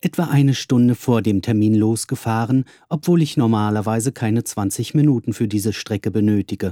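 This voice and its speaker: A man with an ordinary speaking voice talks at a medium pitch and moderate pace with ordinary pitch variation. The recording is very clean with a silent background, the sound dry and close with no echo. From Berlin, Germany. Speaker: musician and podcaster. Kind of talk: scripted narration. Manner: formal.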